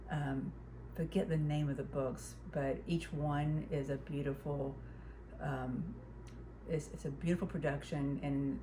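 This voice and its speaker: At a moderate pace, a woman with an American accent speaks amid audible room echo. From US South, Huntsville, Alabama. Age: 60s. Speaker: quilter and craft vlogger. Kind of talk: casual chat. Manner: halting.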